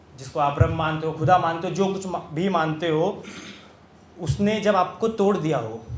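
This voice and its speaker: A man's high-pitched voice with ordinary pitch variation, over noticeable background noise. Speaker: poet. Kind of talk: casual talk to live audience.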